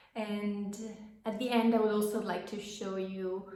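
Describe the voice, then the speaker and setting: At a fairly slow pace, the voice carries audible room echo. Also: woman. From Italy. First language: Italian. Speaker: knitting podcaster. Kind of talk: casual vlog chat. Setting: home office. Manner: hesitant, many fillers.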